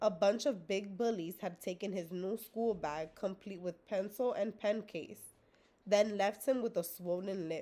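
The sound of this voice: What we hear is an unforced reading voice.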